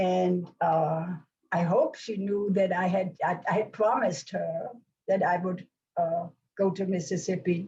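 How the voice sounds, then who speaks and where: A woman speaks at a very slow pace in a dark, mellow, somewhat breathy tone. Her pitch variation is ordinary. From Germany, Hamburg. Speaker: Holocaust survivor and author. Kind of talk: question and answer after lecture. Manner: halting, many restarts.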